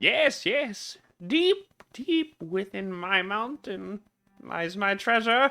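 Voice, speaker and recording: A fairly high put-on character voice at a very slow pace. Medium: actual play. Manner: coy, wheedling.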